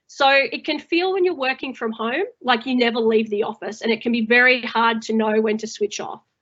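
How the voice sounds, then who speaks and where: A woman speaks at a moderate pace in a high pitch with ordinary pitch variation. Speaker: manager and webinar co-host. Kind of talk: webinar presentation. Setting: online webinar.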